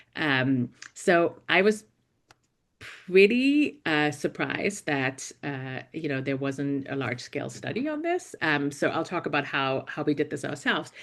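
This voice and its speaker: On a quiet background, a woman with a German accent speaks slowly in a very deep, low voice with ordinary pitch variation. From Germany. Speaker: investigative reporter and journalism professor. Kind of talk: panel talk. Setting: university panel event. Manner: hesitant, many fillers.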